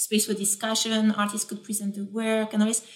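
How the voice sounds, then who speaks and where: A woman with a medium-pitched voice talks fairly quickly while noticeable background noise plays. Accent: French. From France. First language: French. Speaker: architect and professor. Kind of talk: casual interview conversation.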